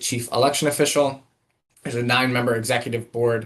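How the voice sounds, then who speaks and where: A man speaks at a medium pitch. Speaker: government staff presenter. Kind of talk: formal presentation at virtual meeting. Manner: fast.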